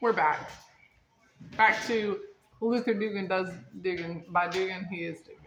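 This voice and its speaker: Pausing long and often, a woman at medium pitch speaks at a moderate pace amid audible room echo. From North Carolina, partly raised in Las Vegas. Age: 30s. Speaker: host's niece, guest. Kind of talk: casual family chat. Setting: at home with dog and family. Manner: animated, joking.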